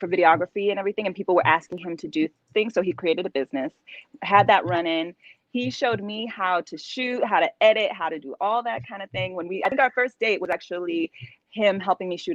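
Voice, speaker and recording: A woman with a Californian accent speaks at a very fast pace and medium pitch, her intonation lively and her loudness swinging widely. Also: dry, close sound with no echo. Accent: Californian American English. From Southern California. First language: Spanish. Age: young. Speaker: actress. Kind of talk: interview.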